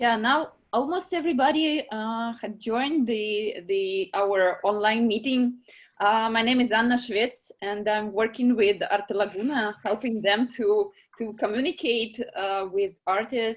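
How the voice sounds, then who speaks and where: Fairly slow, fairly high-pitched speech from a woman, the pitch varying in an ordinary way. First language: not English. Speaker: online meeting moderator for art prize. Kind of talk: video call discussion moderation. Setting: video call. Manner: halting, many fillers.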